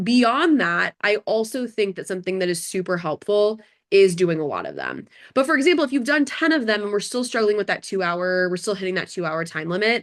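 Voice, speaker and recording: At a fairly quick pace, a woman speaks with lively intonation. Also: medium pitch for a woman. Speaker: bar exam tutor. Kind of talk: online workshop. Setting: video call. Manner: fast.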